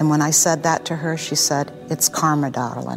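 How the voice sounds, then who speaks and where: Noticeable background noise sits under a woman's very deep, low pitch as she talks at a moderate pace. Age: 60s. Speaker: murder suspect. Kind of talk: interview.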